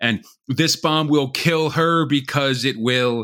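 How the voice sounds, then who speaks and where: Recorded very cleanly against a silent background, a man with an American accent speaks in a fairly high pitch and a bright, sharp tone. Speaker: podcast host. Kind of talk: casual chat.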